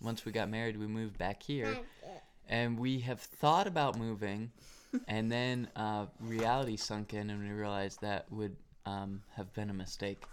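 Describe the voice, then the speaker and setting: With a plain, everyday voice, the talker keeps a moderate tempo and fairly even intonation. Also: man, fairly low pitch for a man. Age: 20s. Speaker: podcaster, young father. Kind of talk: casual chat.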